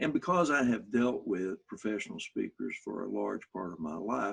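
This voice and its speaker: A man with an Arkansas accent talks at a moderate pace. The sound is dry and close with no echo. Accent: Southern US (Arkansas). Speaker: motivational speaker. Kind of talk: workshop talk.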